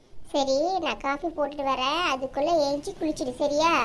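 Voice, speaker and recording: A woman's cartoonish character voice, high-pitched and at a fairly slow pace, over clear background noise. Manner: bossy, fussing, warm.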